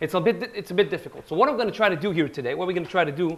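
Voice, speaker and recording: A loud man with a high pitch, at a very fast pace. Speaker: history lecturer. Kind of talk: lecture.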